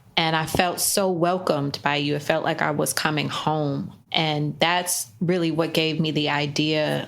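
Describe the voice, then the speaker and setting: With a very deep, low pitch, a woman speaks at a fairly slow pace with hardly any pauses, her intonation monotone and flat and her loudness very even. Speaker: podcast host. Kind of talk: interview talk.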